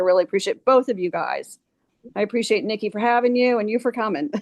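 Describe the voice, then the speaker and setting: Her pitch varies in an ordinary way as this woman talks in an unremarkable speaking voice. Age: 60s. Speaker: massage therapist. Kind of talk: casual chat.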